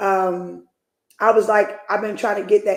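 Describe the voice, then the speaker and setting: A woman's unremarkable speaking voice, medium in pitch, at a fairly quick pace. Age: 40s. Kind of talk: casual chat.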